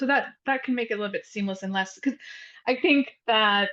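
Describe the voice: Her voice sits at a fairly high pitch for a woman and shows ordinary pitch variation.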